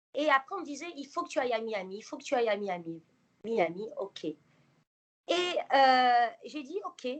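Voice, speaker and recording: A woman talks at a fairly slow pace in a high pitch. Her pitch swings very widely and her loudness rises and falls sharply. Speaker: interviewee, former nurse living abroad. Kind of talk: interview. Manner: hesitant, many fillers.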